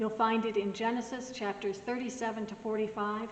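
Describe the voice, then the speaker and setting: Audible room echo and noticeable background noise accompany a woman's fairly high voice. Her intonation is fairly even and her pace moderate. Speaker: pastor. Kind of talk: recorded devotional message.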